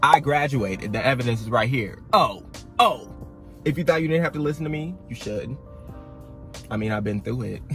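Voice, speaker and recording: A man with lively intonation and long, frequent pauses, music in the background. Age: young. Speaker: college freshman. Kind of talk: casual talk to camera. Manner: frank, informal.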